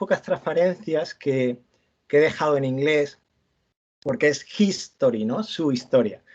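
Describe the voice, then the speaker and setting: A man talks at a moderate pace with a fairly high pitch and ordinary pitch variation. The background is quiet. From Andalusia, Almería. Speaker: university lecturer. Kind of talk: lecture. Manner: halting, many repetitions and fillers.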